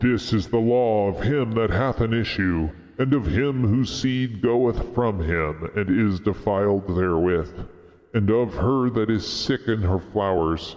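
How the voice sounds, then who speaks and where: This man uses a put-on character voice. He talks fairly slowly. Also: fairly low pitch for a man. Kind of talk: solemn scriptural reading.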